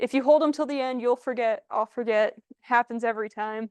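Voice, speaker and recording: A loud, high-pitched woman's voice in an American accent, with ordinary pitch variation, a dry, close sound with no echo, and a quiet background. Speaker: IT and cybersecurity specialist. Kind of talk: presentation to a community group. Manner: animated.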